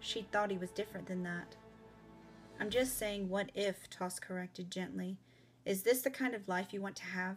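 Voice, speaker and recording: A woman's voice with fairly even intonation, music playing in the background. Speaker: author. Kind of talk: audiobook-style fiction reading.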